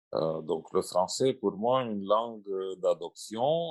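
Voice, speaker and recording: Someone with a Russian accent speaks at a very slow pace. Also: man. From Romania or Moldova, Russian mother and Romanian father. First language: Russian (speaking French). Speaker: translator and writer. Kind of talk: panel discussion. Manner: halting, many repetitions.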